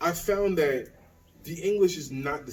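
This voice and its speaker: A somewhat breathy male voice with an American accent and lively intonation, plus audible room echo. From US South. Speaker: expat content creator. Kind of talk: interview Q&A. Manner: casual, conversational.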